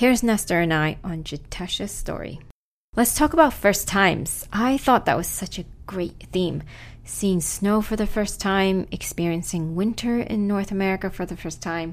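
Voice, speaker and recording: A woman talks at a moderate pace in a normal speaking voice, medium in pitch with ordinary pitch variation. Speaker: podcast co-host. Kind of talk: scripted narration.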